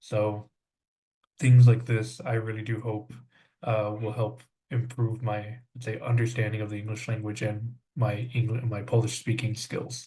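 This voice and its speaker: Somewhat breathy and dark, mellow in tone, the voice moves at a moderate pace with monotone, flat intonation. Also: man, medium pitch for a man. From South Texas. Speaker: language student, English teacher. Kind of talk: podcast interview. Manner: many filler words, hesitant.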